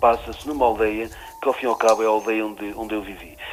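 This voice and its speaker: Against noticeable background noise, a man with a Trás-os-Montes accent speaks in a fairly low voice. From Trás-os-Montes, Portugal (near Chaves). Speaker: writer. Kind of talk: radio interview. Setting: radio show. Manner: halting, many repetitions and fillers.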